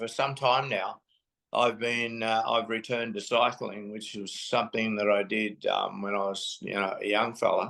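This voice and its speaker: Over a quiet background, a man with an Australian accent talks at a moderate pace and medium pitch in a bright, sharp tone. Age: 80s+. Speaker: lived experience advocate. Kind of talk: testimony. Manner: halting.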